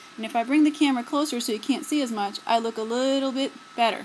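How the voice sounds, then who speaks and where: A woman's high pitch at a fairly quick pace, with ordinary pitch variation and noticeable background noise. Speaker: photography teacher. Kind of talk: tutorial. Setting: indoors by a window, self-filmed video. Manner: halting, filler-heavy.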